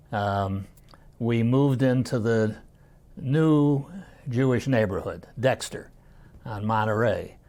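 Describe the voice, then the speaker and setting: Speaking in an American accent, this voice has a dark, mellow tone and ordinary pitch variation. The pace is very slow, with long, frequent pauses. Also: man, medium pitch for a man. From Detroit, Michigan. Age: 80s+. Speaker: retired community fund-raiser. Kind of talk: oral history interview. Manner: halting, many fillers.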